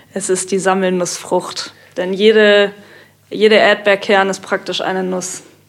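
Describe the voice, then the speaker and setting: Noticeable background noise sits behind a woman's voice. She speaks fairly slowly with monotone, flat intonation. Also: medium pitch for a woman. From Kiel. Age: 20s. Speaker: techno DJ and student. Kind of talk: casual chat.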